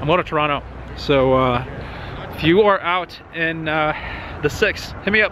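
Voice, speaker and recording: With noticeable background noise, a man speaks at a moderate pace. His pitch is fairly high and varies in an ordinary way. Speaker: car vlogger. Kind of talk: casual vlog talk. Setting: outdoors in the cold canyons.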